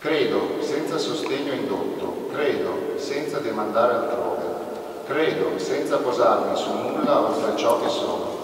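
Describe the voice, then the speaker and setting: A man speaking at a fairly slow pace amid strong room echo and noticeable background noise. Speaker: event host and presenter. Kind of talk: moderating a book presentation. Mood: calm, reflective. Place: church.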